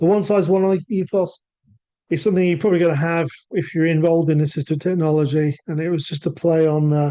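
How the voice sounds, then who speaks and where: Speaking very fast with a British accent, a man uses a high pitch, a dark, mellow tone, and fairly even intonation. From England. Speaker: assistive technology sales manager. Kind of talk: webinar presentation. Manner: halting.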